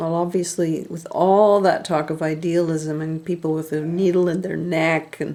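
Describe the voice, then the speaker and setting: The speech moves at a moderate pace, recorded very cleanly against a silent background. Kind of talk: casual commentary to camera.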